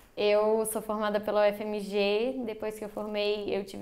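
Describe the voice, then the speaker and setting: A woman talks in a Minas Gerais accent. Her pitch is fairly high. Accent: Minas Gerais (mineiro). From Brazil, Minas Gerais. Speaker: dentist. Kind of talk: podcast interview.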